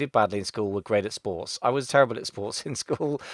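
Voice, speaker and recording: A man with a Gloucester accent talks at a very fast pace with ordinary pitch variation. The sound is dry and close, with no echo. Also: very clean recording, silent background. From Gloucester, west of England. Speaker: Amazon seller consultant and podcaster. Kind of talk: interview. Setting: podcast interview.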